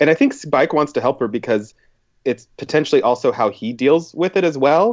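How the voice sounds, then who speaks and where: In an American accent, a man speaks in a plain, everyday voice with a fairly high pitch. His intonation is lively and his pace fairly quick. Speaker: writer and illustrator. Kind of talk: casual chat.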